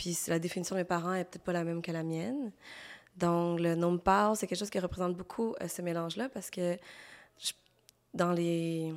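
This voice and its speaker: A woman with a Quebec accent speaks at a moderate pace and a medium pitch. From Quebec, Montreal; Cambodian family. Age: 30s. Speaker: illustrator. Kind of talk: interview.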